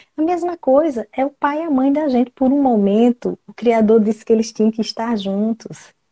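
A woman with an unremarkable speaking voice, fairly high pitch and lively intonation at a moderate pace. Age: 40s. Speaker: family constellation therapist. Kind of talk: live stream chat; guided meditation.

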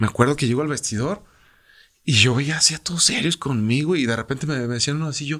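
The recording is very clean with a silent background. A man with a fairly high pitch speaks at a very fast pace. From Mexico, Irapuato, Guanajuato. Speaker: retired professional footballer. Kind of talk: interview. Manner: halting, frequent repetitions.

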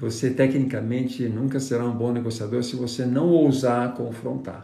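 There is audible room echo around a man whose somewhat breathy voice has a dark, mellow tone. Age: 60s. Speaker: negotiation trainer and consultant. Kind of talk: live stream talk. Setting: Instagram live stream.

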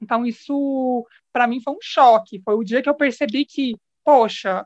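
A woman speaks with a high pitch and ordinary pitch variation. The sound is dry and close with no echo. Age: 20s. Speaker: podcast guest. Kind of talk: casual chat.

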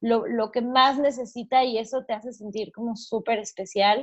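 An ordinary speaking voice, a woman's fairly high pitch moves at a fairly slow pace with fairly even intonation. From Mexico. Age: 30s. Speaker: entrepreneur and podcaster, mother. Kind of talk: interview, casual chat.

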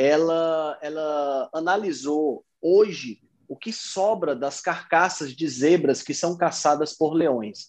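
Against a quiet background, a man with a fairly high pitch and ordinary pitch variation speaks very slowly with hardly any pauses. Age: 40s. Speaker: nutrition student and health podcaster. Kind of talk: interview, explanatory.

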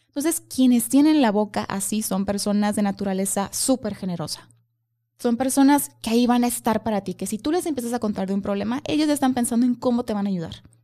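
Speaking at a fairly quick pace in a Mexican accent, a woman has a fairly high pitch with ordinary variation. Her tone is dark and mellow, somewhat breathy. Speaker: face-reading coach. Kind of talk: casual chat.

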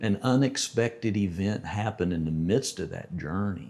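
With an American accent, a man speaks at a moderate pace in an ordinary speaking voice of fairly low pitch. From Texas, Lubbock. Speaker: pilot and retired entrepreneur. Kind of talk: casual chat.

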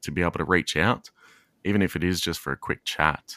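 A man with an Australian accent talks at a fairly quick pace with vocal fry. The sound is dry and close with no echo. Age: 30s. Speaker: podcast co-host and father. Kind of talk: casual chat. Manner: frequent laughter.

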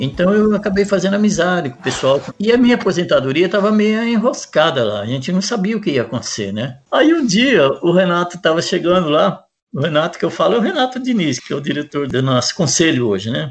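The pitch swings very widely. The speech runs at a fairly quick pace with hardly any pauses. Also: man, high pitch for a man. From Paraná, Brazil. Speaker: maintenance technician. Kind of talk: interview testimony. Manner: halting, many repetitions.

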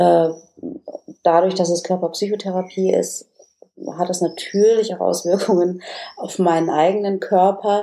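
Using an ordinary speaking voice, a woman speaks at a medium pitch and with fairly even intonation. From northern Germany, Oldenburg area. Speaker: business coach and communication trainer. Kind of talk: casual interview.

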